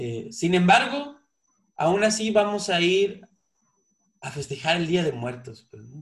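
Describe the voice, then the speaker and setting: Here a man speaks at a very slow pace, high in pitch, with long, frequent pauses. His pitch swings very widely and his loudness varies a great deal. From Mexico. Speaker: podcast host. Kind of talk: casual interview chat. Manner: halting, many repeated words.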